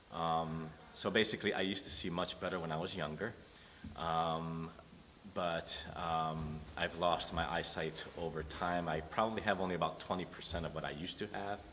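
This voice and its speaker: With an American accent, a man speaks at a very deep, low pitch, at a moderate pace and with fairly even intonation. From New York City. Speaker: blind musician. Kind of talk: interview testimony. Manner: hesitant, many fillers.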